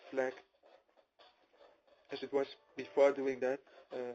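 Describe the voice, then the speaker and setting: A man speaks with a non-native accent. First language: not English. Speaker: programmer. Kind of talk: personal testimony. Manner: hesitant with many fillers.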